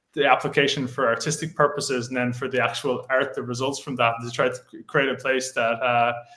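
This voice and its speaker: Speaking in an Irish accent, a man with a medium pitch talks at a fairly quick pace with hardly any pauses and a monotone, flat intonation over noticeable background noise. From Ireland. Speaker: AI art community founder. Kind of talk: casual interview. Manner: halting, many fillers.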